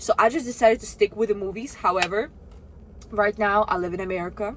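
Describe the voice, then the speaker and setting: A woman with a Russian accent, animated in tone, at a very fast pace and medium pitch with ordinary variation, amid noticeable background noise. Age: 20s. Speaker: vlogger. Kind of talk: casual vlog talk to camera.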